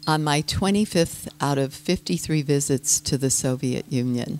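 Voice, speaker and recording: A woman speaks with an American accent and ordinary pitch variation. The sound is dry and close with no echo, though noticeable background noise is present. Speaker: yoga teacher and citizen diplomat. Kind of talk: talk to an audience.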